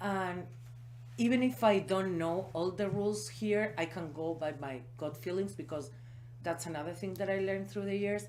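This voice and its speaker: A woman with a non-native accent speaks at a moderate pace with a very deep, low pitch and vocal fry. Her pitch swings very widely, and there is audible room echo. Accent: foreign. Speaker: small business owner. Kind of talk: interview.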